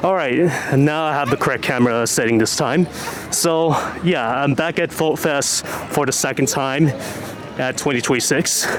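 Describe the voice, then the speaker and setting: Over music in the background, a man with a fairly high voice speaks at a moderate pace with ordinary pitch variation. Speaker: vlogger. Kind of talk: casual vlog narration.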